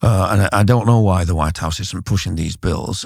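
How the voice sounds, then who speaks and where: On a very clean recording with a silent background, a man speaks fairly quickly with a very deep, low, somewhat breathy voice. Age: 70s. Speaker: immigration writer and commentator. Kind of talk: interview. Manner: halting, many fillers and repetitions.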